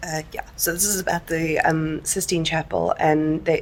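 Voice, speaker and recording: A woman with a strong South African accent speaks at a fairly low pitch and a fairly quick pace. Her intonation is monotone and flat, captured in a very clean recording with a silent background. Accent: heavy South African. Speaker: book vlogger. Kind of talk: casual vlog chat. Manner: casual, with many fillers.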